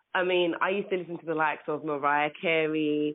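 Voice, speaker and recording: Monotone, flat intonation in a London accent. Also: woman. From England. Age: 30s. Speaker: singer. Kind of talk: interview. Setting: phone call.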